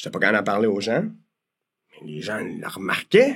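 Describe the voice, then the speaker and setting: A man's voice of medium pitch. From Quebec, Pincourt / Île Perrot area. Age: 40s. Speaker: mortgage broker. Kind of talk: podcast interview. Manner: casual, hesitant with fillers.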